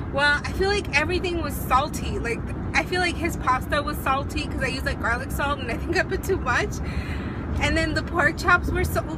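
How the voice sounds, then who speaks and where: Loud background noise sits behind the recording. A woman speaks at a fairly quick pace. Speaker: vlogger. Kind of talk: casual vlog chat. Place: car. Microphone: phone near.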